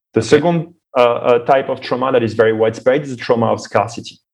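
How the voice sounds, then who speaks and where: With an unremarkable speaking voice, a man of medium pitch talks at a fairly quick pace with ordinary pitch variation. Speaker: think tank founder. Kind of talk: interview conversation.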